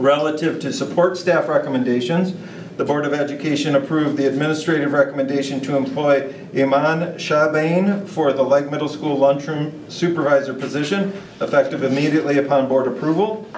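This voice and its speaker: Moving at a fairly quick pace, a man is heard with audible room echo and light background noise. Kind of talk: formal reading of meeting agenda items. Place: meeting room.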